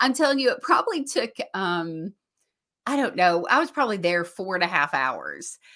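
At a moderate pace, a woman with an American accent speaks in a bright, sharp tone, her fairly high pitch swinging very widely. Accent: Southern US, thick on stage. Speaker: podcast host. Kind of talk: casual chat.

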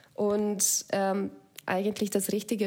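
Speaking very slowly, a woman with a Slovak accent uses a medium pitch. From Slovakia. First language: Slovak (speaking German). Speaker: app founder. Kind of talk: casual interview.

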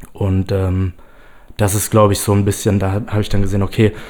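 Speaking at a fairly quick pace, a man uses a dark, mellow tone with a fairly low pitch. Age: 20s. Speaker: startup founder and sport psychology student. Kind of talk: casual chat. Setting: studio.

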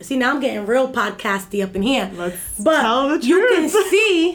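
A woman speaks in an animated tone with very wide pitch swings. Noticeable background noise runs behind her. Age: 30s. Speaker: community activist. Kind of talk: interview.

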